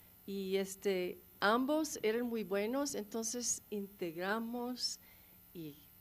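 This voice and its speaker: Very slowly and with lively intonation, a woman talks at a medium pitch in a non-native accent. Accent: non-native Spanish, rusty. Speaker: documentary filmmaker. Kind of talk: panel discussion Q&A. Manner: halting.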